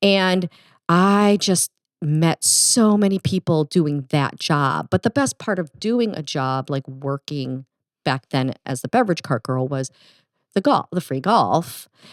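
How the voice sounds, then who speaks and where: At a fairly slow pace and with very wide pitch swings, this voice comes with a Midwestern accent on a very clean recording with a silent background and a dry, close sound with no echo. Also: woman, very deep, low pitch for a woman. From US Midwest. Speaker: golf podcast co-host. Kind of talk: casual chat.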